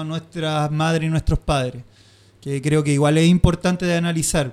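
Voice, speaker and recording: A speaker with a Chilean accent talks at a moderate pace in a monotone, flat intonation. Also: man. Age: 30s. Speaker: screen printer. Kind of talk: casual chat.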